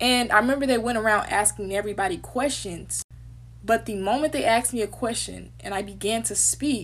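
A woman talks at a fairly quick pace in a Southern US accent. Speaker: former HBCU student. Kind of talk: casual talk to camera. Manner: casual, candid. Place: home room. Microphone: phone near.

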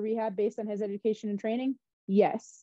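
A woman with an American accent, fairly high in pitch, flat and monotone at a very fast pace, dry with no echo over a quiet background. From US Midwest, Wisconsin. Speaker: physical therapist for a pro football team; guest. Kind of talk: interview conversation. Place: home room. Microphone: video call.

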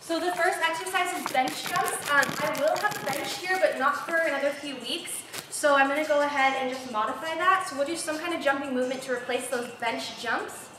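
A woman talks in a raised, projected voice with hardly any pauses, with light background noise and audible room echo. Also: ordinary pitch variation. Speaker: fitness instructor. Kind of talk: workout livestream chat. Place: studio.

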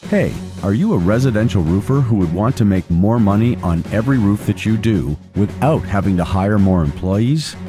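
A man's fairly low voice with lively intonation over clear music in the background. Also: dry sound with no echo. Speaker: voice actor. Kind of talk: commercial read. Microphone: studio mic.

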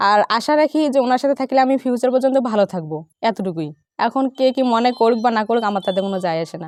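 A woman speaks with a fairly high pitch and lively intonation, in a plain, everyday voice. The sound is dry and close, with no echo. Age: 20s. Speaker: interviewee, young bride. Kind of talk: interview.

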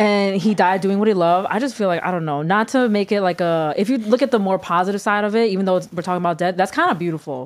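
A woman talks very fast and in an animated tone, with ordinary pitch variation and hardly any pauses. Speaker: podcast co-host; podcast host. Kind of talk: casual chat. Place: studio. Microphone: studio mic.

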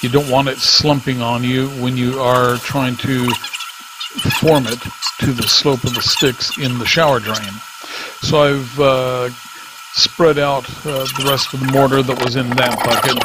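There is noticeable background noise as a man of medium pitch speaks in a flat monotone at a fairly slow pace. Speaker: DIY remodeler. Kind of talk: how-to narration.

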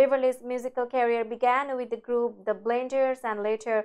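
This woman's voice is high-pitched, with a dark, mellow tone. She speaks at a moderate pace over a quiet background. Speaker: news anchor. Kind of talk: news reading. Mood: sombre, measured. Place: studio. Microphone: lapel.

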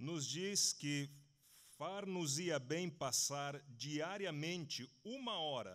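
Speaking at a very slow pace, a man with a fairly high pitch uses lively intonation over a quiet background. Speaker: preacher. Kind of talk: sermon. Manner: slow, in short phrases for interpreting. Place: hall.

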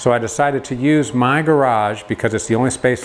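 A man talking very fast with fairly even intonation over light background noise. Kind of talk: casual vlog chat. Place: garage. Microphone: lapel.

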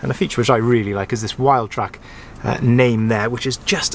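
Ordinary pitch variation at a fairly quick pace, with faint background noise. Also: man.

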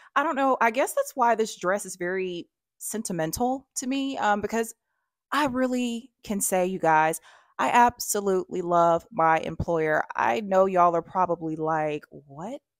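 Recorded with a dry sound, no echo and a quiet background, a woman speaks at a moderate pace with a medium pitch and lively intonation. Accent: Alabama. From US South, Alabama. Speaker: fashion YouTuber. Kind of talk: try-on haul vlog. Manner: chatty, animated. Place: home room.

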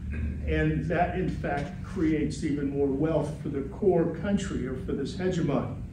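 A man talks at a fairly slow pace with hardly any pauses, over noticeable background noise and audible room echo. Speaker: retired political science professor. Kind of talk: lecture. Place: meeting room. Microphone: camera far.

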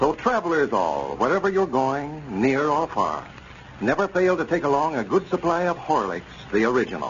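A fairly high-pitched man with a warm tone and lively intonation, at a fairly quick pace over light background noise. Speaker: radio announcer. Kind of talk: old-time radio sponsor announcement and narration. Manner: formal, polished, warm, salesmanlike. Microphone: old recording.

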